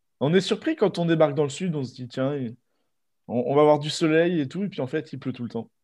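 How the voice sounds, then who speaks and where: A man's fairly high voice at a fairly quick pace, an unremarkable speaking voice. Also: ordinary pitch variation. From Normandy, France. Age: 20s. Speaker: aspiring record shop owner. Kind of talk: interview.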